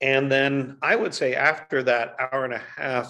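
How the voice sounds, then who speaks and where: Noticeable background noise sits behind a man speaking fairly slowly in a bright, sharp tone. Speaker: guest. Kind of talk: interview answer. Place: home room. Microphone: video call.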